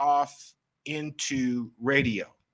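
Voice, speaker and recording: In an American accent, a man's tone comes across bright and sharp. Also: very clean recording, silent background. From Maryland eastern shore, US. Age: 60s. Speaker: professional photographer. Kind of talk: interview chat.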